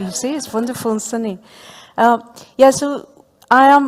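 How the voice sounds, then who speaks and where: A woman speaks in a Spanish accent. Her pace is moderate and her pitch variation ordinary. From Spain. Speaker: professor. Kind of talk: panel discussion. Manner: hesitant, many fillers.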